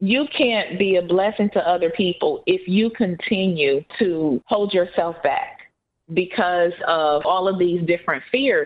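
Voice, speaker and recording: Normal speaking voice from a woman, fairly slow, with ordinary pitch variation. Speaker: podcast co-host. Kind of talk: casual chat.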